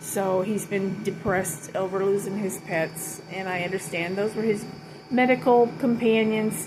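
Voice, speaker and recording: With an American accent, a woman talks at a fairly slow pace in a medium pitch and fairly even intonation, over noticeable background noise. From Ventura, California. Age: 60s. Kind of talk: casual talk to camera.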